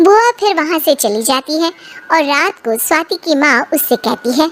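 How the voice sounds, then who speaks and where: A squeaky, high-pitched put-on character voice from a woman, at a moderate pace with very wide pitch swings. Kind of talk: storytelling narration. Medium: cartoon.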